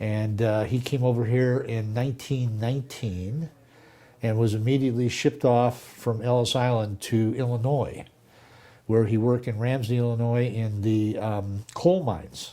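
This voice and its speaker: A man with an American accent speaks at a moderate pace in a medium pitch and a dark, mellow tone. His intonation is fairly even, on a very clean recording with a silent background. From Southern California. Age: 70s. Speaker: lawyer. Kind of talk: oral history interview.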